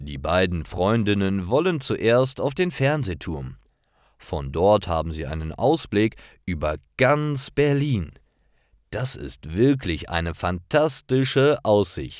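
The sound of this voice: Slow speech with big pitch swings, in a very clean recording with a silent background. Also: man, low pitch for a man.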